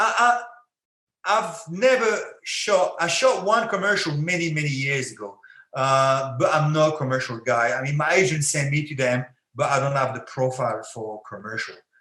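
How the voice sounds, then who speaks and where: With a French accent and a bright, sharp tone, the speaker moves at a moderate pace through very wide pitch swings, with audible room echo. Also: man, fairly high pitch for a man. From France. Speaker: actor and former MMA fighter. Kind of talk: podcast interview.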